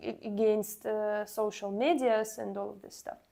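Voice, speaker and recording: With ordinary pitch variation, this woman's voice sits fairly high. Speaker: cosplay wig maker streamer. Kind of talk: casual livestream chat. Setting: livestream. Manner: halting, many fillers.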